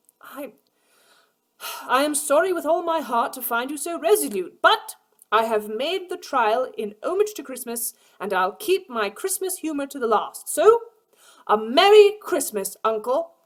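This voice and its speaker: A woman's put-on character voice, high-pitched with a cheerful, warm tone, very wide pitch swings and a moderate pace. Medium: read story.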